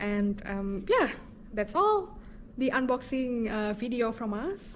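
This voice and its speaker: A woman speaks at a moderate pace with an Indonesian accent. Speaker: vlogger. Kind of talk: casual chat.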